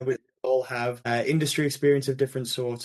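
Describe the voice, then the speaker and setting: Talking at a fairly quick pace, a man with an American accent keeps a medium pitch and fairly even intonation. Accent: English, fading toward American. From England. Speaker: investment banker. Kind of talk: podcast interview. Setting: remote call. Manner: repetitive stammering restarts.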